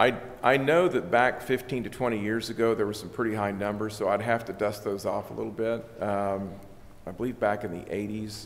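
A man with an ordinary speaking voice and an American accent, fairly low in pitch, fairly quick and fairly even in intonation, over light background noise. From US Midwest. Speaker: election official. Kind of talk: formal presentation. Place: meeting room. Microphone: podium.

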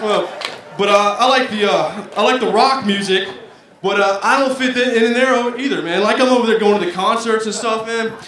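In an American accent, a man with a high, bright, sharp voice speaks at a moderate pace amid audible room echo. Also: ordinary pitch variation, few pauses.

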